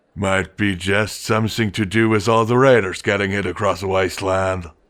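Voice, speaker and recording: A man puts on a raspy character voice, fairly low in pitch, with fairly even intonation. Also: moderate pace. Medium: read story. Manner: slow, deliberate.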